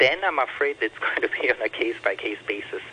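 Background noise is noticeable throughout. Over it, a man talks at a moderate pace. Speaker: microbiologist. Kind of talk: radio interview. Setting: phone call.

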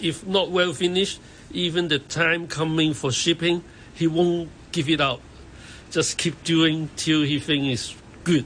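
Speaking with a Hong Kong accent, a man keeps a fairly high pitch, fairly even intonation and a fairly slow pace. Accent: Hong Kong Cantonese-accented English. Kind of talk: interview.

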